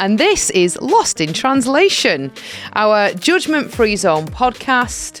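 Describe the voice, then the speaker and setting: Over music in the background, a woman speaks very slowly at a fairly high pitch, with very wide pitch swings and very even loudness. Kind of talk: casual podcast conversation. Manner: upbeat, excited.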